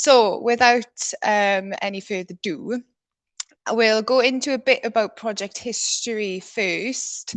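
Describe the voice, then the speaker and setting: A woman's fairly high pitch, fairly even intonation and fairly slow pace against a quiet background. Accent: South Welsh. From South Wales. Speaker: conservation biologist. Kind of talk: presentation talk.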